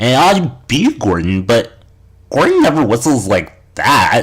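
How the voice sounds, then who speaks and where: The voice is a put-on character voice from a man. It lands at a medium pitch. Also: moderate pace. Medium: read story. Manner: gentle, warm.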